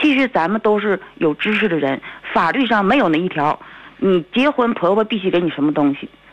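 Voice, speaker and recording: A woman at medium pitch talks at a fairly quick pace with very wide pitch swings, against noticeable background noise. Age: 40s. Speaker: caller. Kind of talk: phone-in call. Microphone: too quiet.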